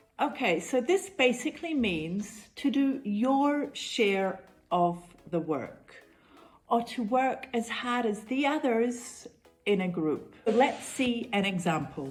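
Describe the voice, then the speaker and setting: With a New Zealand accent, a woman talks at a very slow pace in a fairly high pitch that swings very widely. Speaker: English teacher. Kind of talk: tutorial. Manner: clear, measured teaching pace.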